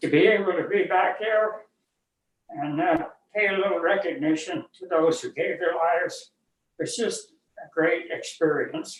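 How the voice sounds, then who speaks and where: A man with a Western US accent talks at a fairly slow pace, his loudness swinging widely from moment to moment. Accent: American Western. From Utah, USA. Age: 80s+. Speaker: war veteran. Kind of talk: interview answer.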